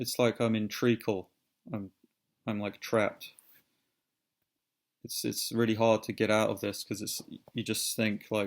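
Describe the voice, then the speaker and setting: A man with a British accent, fairly low-pitched and fairly even in intonation, at a fairly slow pace with long, frequent pauses. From Britain. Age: 30s. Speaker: vlogger. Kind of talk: personal vlog monologue. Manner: halting, many repetitions and fillers.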